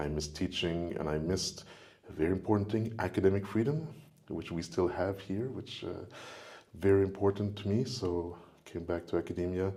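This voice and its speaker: With a French accent, a man speaks fairly quickly in a very deep, low voice with a dark, mellow tone. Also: ordinary pitch variation. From Quebec, Montreal. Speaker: professor. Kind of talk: casual chat.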